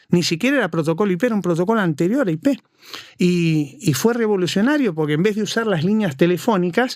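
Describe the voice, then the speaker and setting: A man talks very fast in a high voice with an Argentine accent. His intonation is lively and his loudness stays very even. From Argentina. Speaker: cybersecurity consultant. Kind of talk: interview.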